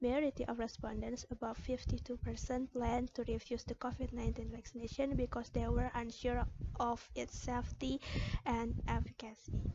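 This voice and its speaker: Noticeable background noise runs under the recording. A woman speaks at a moderate pace in an Indonesian accent. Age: 20s. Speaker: pharmacy student. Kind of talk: self-introduction application video.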